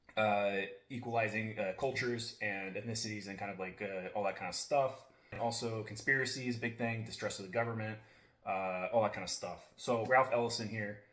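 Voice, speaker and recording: Speaking fairly quickly, a man with a medium pitch keeps a fairly even intonation while room echo can be heard. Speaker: book reviewer. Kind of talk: casual monologue. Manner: many fillers and restarts; fast.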